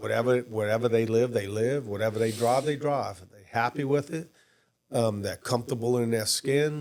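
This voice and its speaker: In a New Orleans accent, a man talks at a medium pitch and moderate pace with fairly even intonation and big swings in loudness. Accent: New Orleans area Louisiana. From Louisiana, Jefferson Parish (New Orleans area). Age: 60s. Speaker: former state official and businessman. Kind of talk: podcast interview. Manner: casual, hesitant with fillers.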